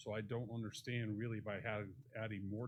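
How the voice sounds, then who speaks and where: A man talks in a fairly low pitch, somewhat breathy. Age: 60s. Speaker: real estate developer speaking at public meeting. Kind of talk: public comment at city commission workshop.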